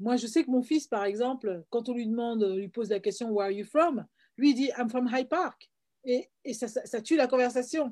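Speaking at a moderate pace, a woman has a high-pitched, dark, mellow voice with ordinary pitch variation. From France, Paris (Guadeloupean family). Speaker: filmmaker, screenwriter and playwright. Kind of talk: interview. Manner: hesitant, frequent word repetitions.

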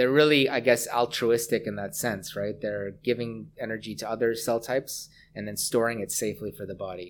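A plain, everyday voice from a man with a Canadian accent, medium pitch, fairly quick pace, fairly even intonation and big swings in loudness, in a very clean recording with a silent background. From Canada, Hamilton, Ontario. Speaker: professor and researcher. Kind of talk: interview.

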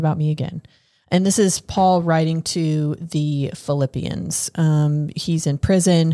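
The intonation here is fairly even. It comes from a plain, everyday voice. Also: woman. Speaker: podcast host. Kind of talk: casual chat.

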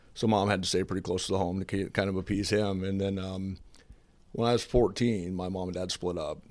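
A man with an American accent speaks in a very deep, low pitch at a moderate pace. His intonation is flat and monotone, and the recording is very clean with a silent background. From US Midwest, Jefferson, Iowa. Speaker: home builder and church deacon. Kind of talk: casual chat; testimony.

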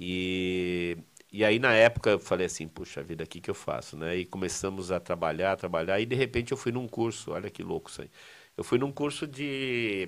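A man with a fairly low pitch talks at a moderate pace using lively intonation and big swings in loudness. The recording is very clean, with a silent background. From Brazil, São Paulo city. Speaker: seminary professor. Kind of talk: casual interview. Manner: halting, repetitive.

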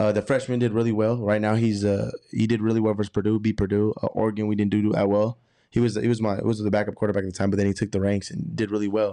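A man's very fast speech in an American accent, fairly low in pitch, dark and mellow in tone, with monotone, flat intonation. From Texas (Arlington), later southern California. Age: 20s. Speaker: college football player. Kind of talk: casual chat.

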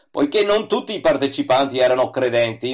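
A man with an unremarkable speaking voice talks in a medium pitch with ordinary pitch variation. The recording is very clean, with a silent background. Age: 60s. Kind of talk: scripted reading of a religious essay.

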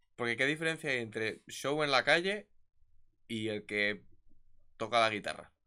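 Bright and sharp in tone, a man speaks at a moderate pace with lively intonation and long, frequent pauses. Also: medium pitch for a man. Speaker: podcast co-host. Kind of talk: casual chat. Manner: soft-spoken.

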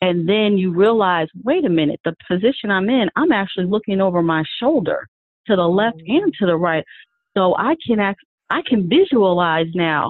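A woman's unremarkable speaking voice at medium pitch, lively in intonation, very even in loudness, at a moderate pace. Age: 40s. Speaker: math teacher and yoga author. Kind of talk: casual interview.

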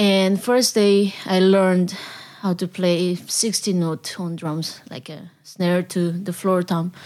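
Speaking at a very slow pace, a woman with a Korean accent keeps a medium pitch and fairly even intonation. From South Korea. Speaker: jazz drummer and band leader. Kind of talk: interview. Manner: halting.

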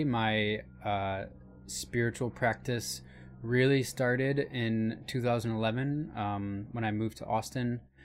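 A man with an American accent talks at a fairly slow pace. Music plays in the background. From Michigan. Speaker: new media artist, podcast co-host. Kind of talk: casual chat.

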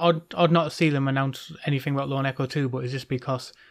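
A man with a British accent speaks fairly quickly in a fairly high pitch. His intonation is monotone and flat, and the recording is very clean with a silent background. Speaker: podcast co-host. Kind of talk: casual chat.

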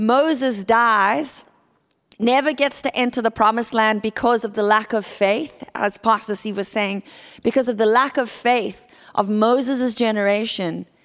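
A woman speaks with a South African accent at a fairly high pitch. Her pace is moderate and her intonation fairly even. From South Africa (Port Elizabeth). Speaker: guest preacher. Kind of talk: sermon. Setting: church.

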